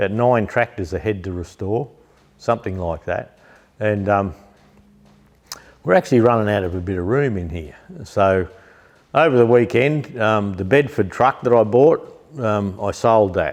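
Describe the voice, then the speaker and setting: A man's fairly low voice in a relaxed tone, at a moderate pace with long, frequent pauses and ordinary pitch variation, over a quiet background. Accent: Australian. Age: 60s. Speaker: tractor restorer and parts seller. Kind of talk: casual chat. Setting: workshop shed. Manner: relaxed, hesitant with many ums.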